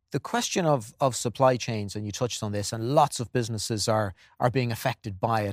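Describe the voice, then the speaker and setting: A man with an Irish accent and a medium pitch speaks at a fairly quick pace with fairly even intonation, recorded very cleanly against a silent background with a dry, close sound and no echo. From Ireland. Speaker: event moderator, broadcaster. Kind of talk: event moderation. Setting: live event studio.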